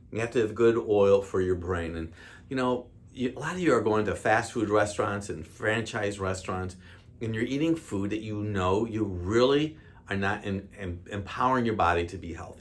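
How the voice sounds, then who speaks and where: With an American accent and a normal speaking voice, a man talks at a fairly low pitch and a moderate pace, with ordinary pitch variation. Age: 60s. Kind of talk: health talk to camera. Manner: casual, conversational.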